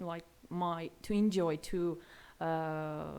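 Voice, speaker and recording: A woman with an Armenian accent speaks at a fairly low pitch with ordinary pitch variation. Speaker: language learner. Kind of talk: interview. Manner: halting.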